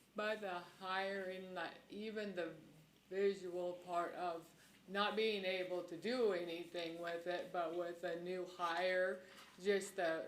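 In a room with audible echo, a woman speaks at a medium pitch and a very slow pace with monotone, flat intonation. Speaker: county commissioner. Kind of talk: public meeting discussion. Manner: halting.

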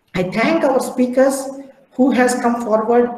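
Audible room echo around a man talking at a fairly slow pace. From India. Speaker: professor, head of civil engineering department. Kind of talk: formal vote of thanks. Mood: polite, formal. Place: home room. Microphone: video call.

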